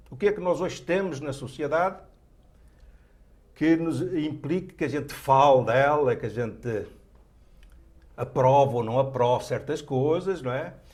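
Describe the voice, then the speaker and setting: Speaking in a fairly high, somewhat breathy voice, a man goes at a fairly slow pace with ordinary pitch variation and long, frequent pauses. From Portugal. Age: 70s. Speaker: writer. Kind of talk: TV interview.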